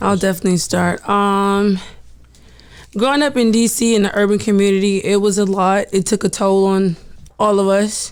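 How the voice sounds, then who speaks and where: In a very clean recording with a silent background, a woman with an American accent and an unremarkable speaking voice talks at a moderate pace, her medium pitch carrying fairly even intonation at very even loudness. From Washington DC. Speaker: guest, soldier. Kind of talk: casual chat.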